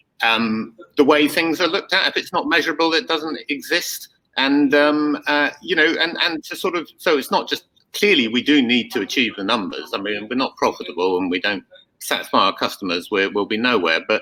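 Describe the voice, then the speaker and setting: Speaking at a fairly quick pace, a man with a fairly high pitch, a bright, sharp tone and vocal fry makes very wide pitch swings. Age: 60s. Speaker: company founder. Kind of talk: panel interview. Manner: hesitant, many fillers and repetitions.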